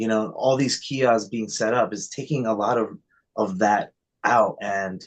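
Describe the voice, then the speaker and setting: A man at medium pitch with fairly even intonation. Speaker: cannabis retail worker. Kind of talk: casual chat. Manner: fast.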